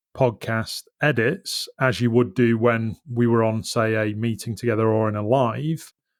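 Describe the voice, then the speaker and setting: With a Yorkshire accent, a man at medium pitch talks at a fairly slow pace on a very clean recording with a silent background. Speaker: business podcast host. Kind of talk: solo podcast monologue. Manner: uses ums and ahs when speaking live.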